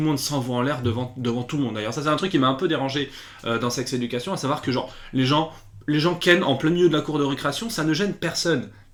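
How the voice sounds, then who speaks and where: Over noticeable background noise, a man speaks in a fairly high voice with ordinary pitch variation. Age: 20s. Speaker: YouTube series reviewer. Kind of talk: casual video review. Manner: hesitant, many fillers and repetitions; animated.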